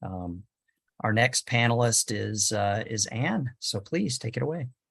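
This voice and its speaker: A somewhat breathy man with ordinary pitch variation against a quiet background. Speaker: panel moderator. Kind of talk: moderating webinar. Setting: webinar video call.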